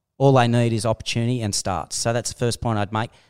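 A man with an Australian accent at a medium pitch and a fairly quick pace, dry and close with no echo. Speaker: sports podcast host. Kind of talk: casual chat.

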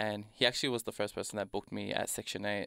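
Recorded very cleanly against a silent background, a man with an Australian accent sounds dry and close, with no echo. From Melbourne's south-east suburbs, Australia. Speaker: hip-hop artist. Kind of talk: interview. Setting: studio.

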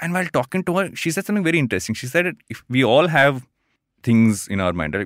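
Someone with an Indian accent talks at a very fast pace with lively intonation, recorded dry and close with no echo in a very clean recording with a silent background. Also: man. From Andhra Pradesh, India. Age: 30s. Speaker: podcaster and co-founder. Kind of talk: casual interview. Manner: fast talker.

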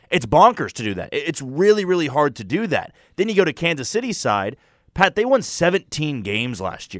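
A man's voice has vocal fry and very wide pitch swings. The sound is dry and close with no echo. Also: very clean recording, silent background. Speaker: sports radio co-host. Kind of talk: casual sports talk. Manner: conversational, analytical.

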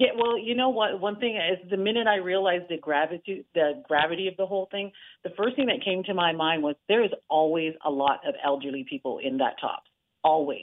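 A woman's normal speaking voice at medium pitch, fairly quick, with an American accent. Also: lively intonation. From Niagara region, Canada/US border. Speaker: community activist. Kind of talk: interview. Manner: emotional.

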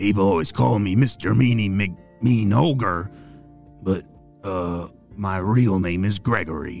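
In a put-on character voice, a man speaks at a fairly low pitch and a fairly slow pace with long, frequent pauses as clear music plays in the background. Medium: read story. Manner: gruff.

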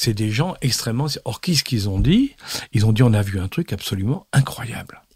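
A man talks at medium pitch in a somewhat breathy voice. His intonation is lively. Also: moderate pace. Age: old. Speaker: former intelligence chief and geopolitics expert. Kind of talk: interview.

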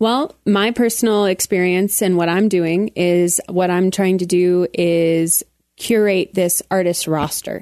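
A woman's medium-pitched, dark and mellow voice with an American accent, fairly slow with hardly any pauses, fairly even intonation and very even loudness, in a dry, close sound with no echo. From Colorado Springs, US. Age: 20s. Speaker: entertainer and entrepreneur. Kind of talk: casual chat.

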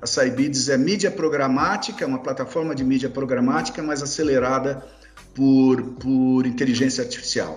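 A man at a moderate pace and medium pitch, ordinary pitch variation, audible room echo and noticeable background noise. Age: 60s. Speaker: journalist and investor. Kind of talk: interview.

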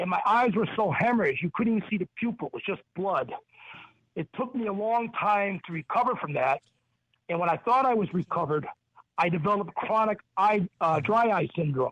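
Dry and close with no echo, a man's high voice carries lively intonation. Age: 60s. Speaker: caller, retired police officer. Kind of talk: caller question. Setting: phone call.

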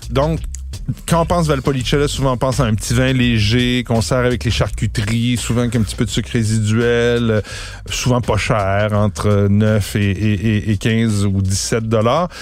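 A man with a Quebec accent speaks at a fairly slow pace and a fairly low pitch, with ordinary pitch variation. His loudness stays very even over noticeable background noise. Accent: Québécois French. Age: 50s. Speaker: podcast host. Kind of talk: casual chat.

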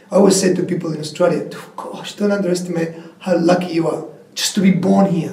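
Someone with a Spanish accent speaks at a moderate pace over noticeable background noise. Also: man. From Argentina, coastal Patagonia. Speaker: former tech executive. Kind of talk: interview. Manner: animated.

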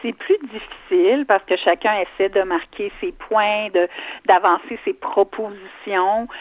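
Speaking very slowly with a Quebec accent, a woman uses a fairly high voice with ordinary pitch variation. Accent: Québécois French. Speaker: provincial politician. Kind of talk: radio interview.

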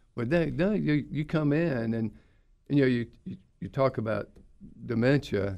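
Using an American accent and a dark, mellow tone, a man at medium pitch talks at a moderate pace with lively intonation and long, frequent pauses. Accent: aristocratic Southern. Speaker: periodontist. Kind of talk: interview. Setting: studio.

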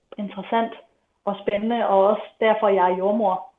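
A woman speaks in a plain, everyday voice at medium pitch. Her pace is fairly slow and her intonation fairly even. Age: 20s. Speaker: midwife. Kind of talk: interview testimony.

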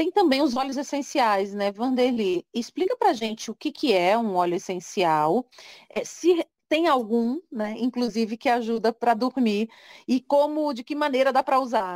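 In a very clean recording with a silent background and a dry, close sound with no echo, a woman talks at a moderate pace in a high pitch with lively intonation. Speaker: podcast host. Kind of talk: interview. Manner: conversational, informal.

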